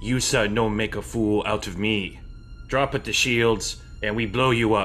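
A man's medium-pitched, put-on character voice at a moderate pace amid clear background noise. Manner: threatening.

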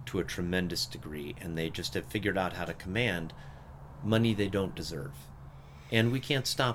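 The speaker's pitch swings very widely, with vocal fry running through the voice. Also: man. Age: 50s. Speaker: podcast host and gym owner. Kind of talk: casual political discussion.

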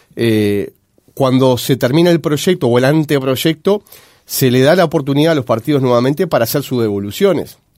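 At a fairly high pitch, a man speaks at a moderate pace with ordinary pitch variation and very even loudness. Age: 40s. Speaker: politician. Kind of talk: radio interview. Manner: halting, frequent fillers.

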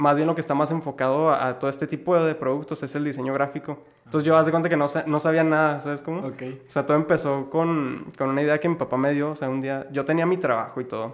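Very fast and with hardly any pauses, a man speaks in a monotone, flat intonation at a fairly high pitch. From Mexico, Ciudad Juárez (Chihuahua). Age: 20s. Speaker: entrepreneur, clothing customization business owner. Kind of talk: casual interview chat.

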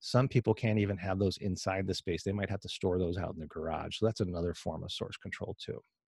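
A man talks very fast in a fairly low pitch with fairly even intonation and a somewhat breathy sound. The very clean recording is dry and close, with no echo and a silent background. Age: 50s. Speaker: HVAC indoor air quality trainer. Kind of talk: interview.

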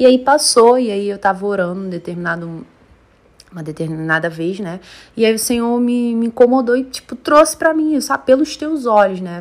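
A woman speaks at a moderate pace in an animated tone, her pitch swinging very widely and her loudness rising and falling sharply. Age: 20s. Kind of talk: casual monologue.

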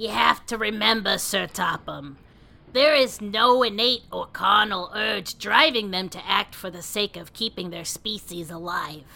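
A woman performs a put-on character voice at medium pitch with ordinary pitch variation. Her loudness swings widely from moment to moment. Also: moderate pace. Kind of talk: melodramatic fan-fiction reading. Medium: read story. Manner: earnest, explanatory, dryly teasing.

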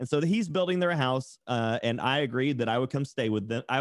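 Medium-pitched male voice in an American accent. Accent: Southern US, toned down. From Tennessee, US South. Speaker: tattoo artist and streamer. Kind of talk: casual podcast interview.

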